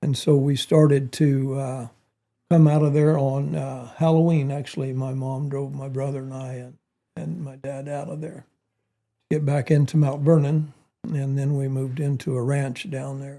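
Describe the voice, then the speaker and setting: A man with a western US accent speaks with a dark, mellow tone and a fairly high pitch, somewhat breathy, with fairly even intonation and big swings in loudness. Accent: rural western US. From Oregon, rural eastern. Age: 70s. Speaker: war veteran. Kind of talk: interview conversation.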